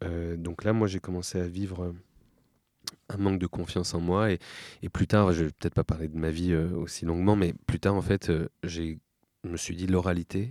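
A man talks at a very deep, low pitch with a dark, mellow tone and monotone, flat intonation, leaving long, frequent pauses. The recording is very clean, with a silent background. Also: moderate pace, dry, close sound with no echo. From Paris suburbs (Seine-Saint-Denis area). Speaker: documentary filmmaker and public speaking teacher. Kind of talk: interview.

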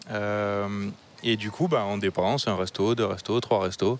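Noticeable background noise sits behind a man speaking at a moderate pace with a southwestern French accent. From southwestern France. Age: 30s. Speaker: renewable energy engineer. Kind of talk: casual chat.

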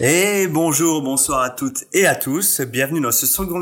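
Lively intonation marks a man's plain, everyday voice at a moderate pace. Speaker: podcast host. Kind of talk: casual interview chat.

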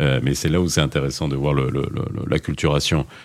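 This man talks while background noise is noticeable behind his words. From Moroccan diaspora in Belgium. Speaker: radio host. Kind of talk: radio talk show. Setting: studio. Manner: animated.

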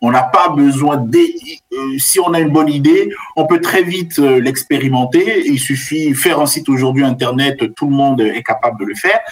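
Music plays in the background. A man with a fairly high pitch speaks at a moderate pace. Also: ordinary pitch variation. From Central Africa (Cameroon, Benin, Central African Republic). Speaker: business school professor. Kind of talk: interview. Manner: halting, many repetitions and fillers.

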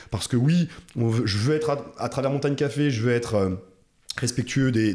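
On a very clean recording with a silent background, a man speaks at a fairly quick pace in a dark, mellow tone with ordinary pitch variation. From France, Alsace (Munster valley). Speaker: coffee roaster, former athlete and NGO director. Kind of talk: casual interview. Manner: halting, repeats words.

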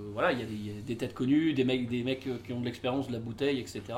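Very fast and at a medium pitch, a man speaks through noticeable background noise and audible room echo. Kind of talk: casual chat.

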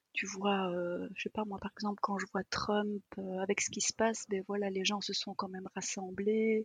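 Somewhat breathy and medium in pitch, a woman speaks at a moderate pace in a monotone, flat intonation. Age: 50s. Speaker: energy therapist. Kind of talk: casual chat.

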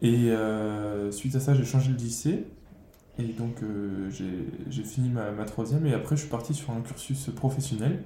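A fairly slow, somewhat breathy male voice with a dark, mellow tone and audible room echo. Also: medium pitch for a man, ordinary pitch variation. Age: 20s. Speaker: cook. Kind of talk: interview. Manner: halting.

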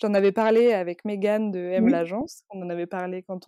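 The sound is dry and close, with no echo. A woman speaks at a medium pitch and a fairly slow pace. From rural France. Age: 30s. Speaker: magazine editor. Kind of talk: interview. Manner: halting, many fillers and repetitions.

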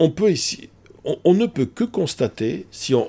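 Silent background and very clean recording for a man's voice. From Bordeaux, France. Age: 60s. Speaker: psychology professor and public speaker. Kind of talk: casual interview. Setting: office. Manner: hesitant, many fillers.

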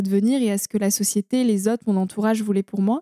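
Dark, mellow tone with fairly even intonation and a dry, close sound free of echo. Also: woman. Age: 20s. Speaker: environmental storyteller and podcaster. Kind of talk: interview conversation. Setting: recorded in person in a holiday house near the ocean. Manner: hesitant, with fillers and repetitions.

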